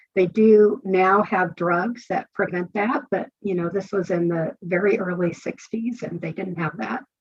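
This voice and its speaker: This woman has an unremarkable speaking voice, medium in pitch, with ordinary pitch variation, an American accent and hardly any pauses. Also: fairly slow pace. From Northern California. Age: 60s. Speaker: author. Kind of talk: interview. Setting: podcast.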